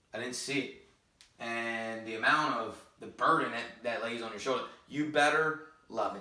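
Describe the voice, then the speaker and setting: With audible room echo, a man speaks with ordinary pitch variation. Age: 20s. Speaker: high school football coach. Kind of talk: vlog monologue. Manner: hesitant, many fillers. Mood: earnest, confessional. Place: home room. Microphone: camera far.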